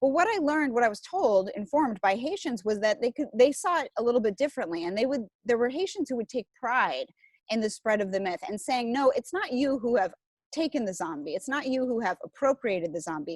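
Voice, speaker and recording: Very wide pitch swings in a dry, close sound with no echo. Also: woman, high pitch for a woman, fairly quick pace. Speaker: zombie studies scholar. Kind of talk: academic interview. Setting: video call from outdoor porch. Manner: fast; lowered voice.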